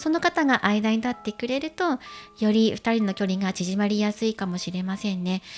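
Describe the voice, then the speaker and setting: Over music in the background, a woman talks at a moderate pace with a fairly high pitch and lively intonation. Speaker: tarot reader. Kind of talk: tarot reading to camera.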